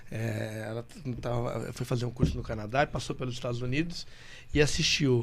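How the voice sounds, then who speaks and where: The speaker keeps a moderate pace and ordinary pitch variation over noticeable background noise. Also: man. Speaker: podcast host. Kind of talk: casual chat.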